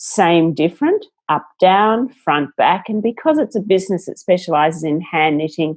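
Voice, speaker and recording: A woman with an Australian accent talks at a moderate pace with ordinary pitch variation. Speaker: entrepreneur. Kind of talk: interview.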